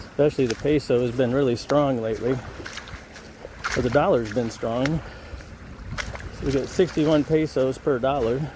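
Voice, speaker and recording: Relaxed in tone, a man with an American accent talks at a moderate pace and medium pitch with fairly even intonation and long, frequent pauses over noticeable background noise. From United States. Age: 60s. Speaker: expat vlogger. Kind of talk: walk and talk vlog. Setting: outdoors on a beach. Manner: casual, relaxed.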